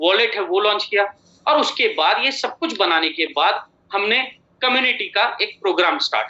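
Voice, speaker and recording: A man is speaking. He talks with a Marathi accent. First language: Marathi (speaking Hindi). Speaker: company chairman and MD. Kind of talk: motivational business presentation.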